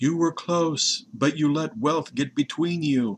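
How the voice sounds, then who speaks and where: In a fairly high, sing-song put-on character voice, a man speaks at a fairly slow pace. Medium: read story. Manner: mournful.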